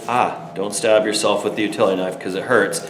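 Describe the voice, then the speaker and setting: A man with a fairly low pitch speaks amid audible room echo and noticeable background noise. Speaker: teacher. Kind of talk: tutorial. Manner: hesitant, many fillers.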